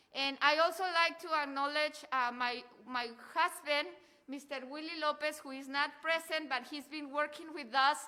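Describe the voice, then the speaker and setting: A woman with a Mexican accent talks at a moderate pace in a high, raised and projected voice, her tone bright and sharp, her intonation fairly even, and her loudness swinging widely. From Mexico. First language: Spanish. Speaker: cultural center director and event host. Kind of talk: event announcements. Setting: live event with audience. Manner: halting.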